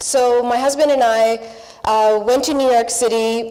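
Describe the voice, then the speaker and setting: Through noticeable background noise, a woman speaks in a fairly high pitch with fairly even intonation. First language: not English. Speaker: panelist, public broadcaster journalist. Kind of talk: panel discussion.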